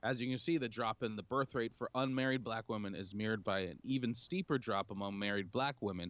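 With ordinary pitch variation, a man delivers his words at a fairly quick clip. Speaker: podcast host. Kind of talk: casual conversational podcast discussion. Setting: video call recording over Skype. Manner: low energy, laid back.

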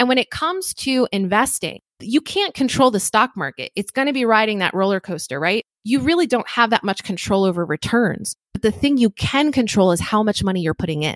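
Speaking at a fairly quick pace with hardly any pauses, a woman uses a fairly high pitch and very wide pitch swings, in a very clean recording with a silent background and a dry, close sound with no echo. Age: 30s. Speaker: personal finance speaker and event organizer. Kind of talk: interview.

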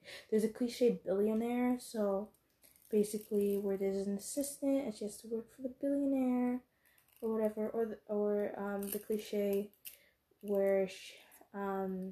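A soft-spoken woman with a fairly high pitch, a dark, mellow tone, fairly even intonation and a fairly slow pace. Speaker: podcast host about story writing. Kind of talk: casual solo podcast talk. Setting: recording at cousin's home, quiet room.

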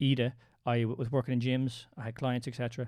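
A man's very fast speech in an Irish accent, on a very clean recording with a silent background. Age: 30s. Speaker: movement coach. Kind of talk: casual chat.

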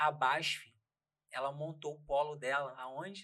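This man has a bright, sharp tone at a fairly high pitch. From Pernambuco, raised in Rio de Janeiro. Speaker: dubbing studio owner. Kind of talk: casual interview. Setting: studio.

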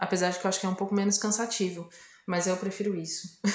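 The voice is monotone and flat, with noticeable background noise and audible room echo. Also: woman. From interior of Brazil. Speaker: podcast co-host. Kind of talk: casual chat. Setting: video call. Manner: calm, soft.

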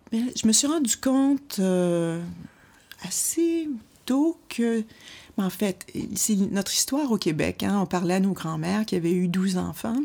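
Over a silent background in a very clean recording, a woman speaks very slowly at a medium pitch, somewhat breathy, her pitch swinging very widely while her loudness stays very even, with long, frequent pauses. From Quebec City. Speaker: women's rights organization president. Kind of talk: interview.

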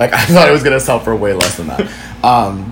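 A man's fairly low voice with an American accent, plus audible room echo and noticeable background noise. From Washington DC. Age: 20s. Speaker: dance artist and body positivity advocate. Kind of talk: casual chat.

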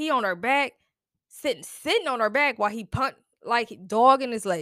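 In a very clean recording with a silent background, a woman with a high pitch talks at a moderate pace in an animated tone with lively intonation. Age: 30s. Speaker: podcast host. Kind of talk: casual chat. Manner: animated, laughing often.

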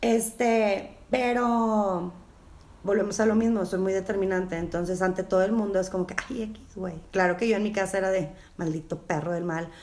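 At a moderate pace, a woman with a Mexican accent speaks at medium pitch with fairly even intonation. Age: 40s. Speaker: podcast co-host. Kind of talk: casual chat.

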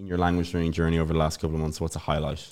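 This is a man speaking. He has a Dublin accent. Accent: Irish, Dublin. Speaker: podcast co-host, language learner. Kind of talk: casual chat.

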